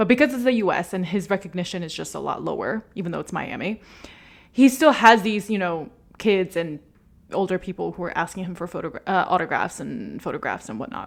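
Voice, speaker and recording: A woman with an American accent speaks at a fairly quick pace, her medium-pitched voice animated and showing vocal fry. Her intonation is lively, her loudness swings widely, and the recording is very clean with a silent background. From USA. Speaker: football podcast host. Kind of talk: casual commentary monologue.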